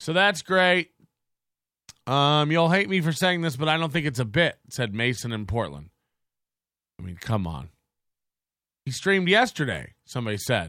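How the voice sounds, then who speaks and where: A man's bright, sharp, fairly high voice with very wide pitch swings, moderate pace and long, frequent pauses. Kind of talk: casual commentary stream. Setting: home studio. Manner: animated, laughs often.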